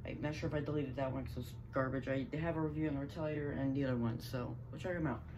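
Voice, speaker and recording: The speech races at a very fast pace with hardly any pauses over noticeable background noise. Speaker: YouTuber reviewing toy blasters. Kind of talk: casual product review. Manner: casual, animated.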